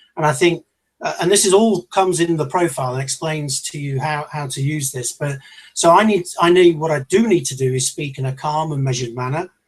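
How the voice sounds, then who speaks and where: This man has a British accent and a fairly high pitch. He speaks at a fairly quick pace with ordinary pitch variation. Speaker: leadership trainer. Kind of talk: online seminar talk. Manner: fast; loud.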